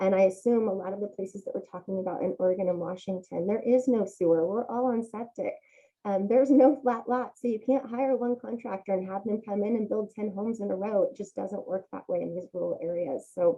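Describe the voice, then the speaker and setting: The delivery is fairly quick, with hardly any pauses. Pitch variation is ordinary. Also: woman, medium pitch for a woman. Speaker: general contractor. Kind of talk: presentation to community meeting. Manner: fast.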